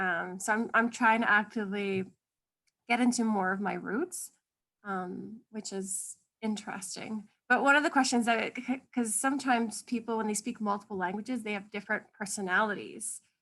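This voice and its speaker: Speaking in a Canadian accent with an ordinary speaking voice, a woman keeps a moderate pace, a fairly high pitch and ordinary pitch variation. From Canada, Polish-Canadian. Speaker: podcast guest. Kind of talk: casual chat.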